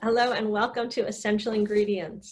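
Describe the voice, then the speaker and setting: This is an ordinary speaking voice with an American accent. The pace is moderate. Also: woman. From US East Coast. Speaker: podcast host. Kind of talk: interview.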